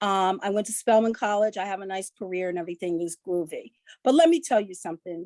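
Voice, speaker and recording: Talking fairly quickly with an American accent, a woman at medium pitch shows ordinary pitch variation, recorded with a dry, close sound and no echo. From New Rochelle, New York. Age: 60s. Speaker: audience member. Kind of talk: question from audience. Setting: Zoom call piped into room.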